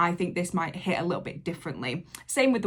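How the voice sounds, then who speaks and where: A woman's fairly low voice comes through a very clean recording with a silent background. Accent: English. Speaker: reaction youtuber. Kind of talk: reaction video commentary. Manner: casual, hesitant with fillers.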